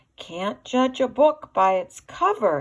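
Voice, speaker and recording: A woman's high-pitched, put-on character voice, fairly slow, with very wide pitch swings. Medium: read story. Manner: shy.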